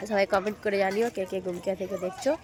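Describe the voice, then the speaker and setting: A woman at medium pitch against noticeable background noise. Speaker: vlogger. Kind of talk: casual vlog narration.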